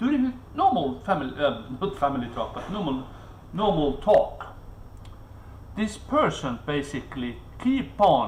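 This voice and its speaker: A man speaks at a fairly slow pace with long, frequent pauses. Audible echo fills the room. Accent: non-native. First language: not English. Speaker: vlogger. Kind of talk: live stream monologue. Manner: halting, with many fillers and repetitions.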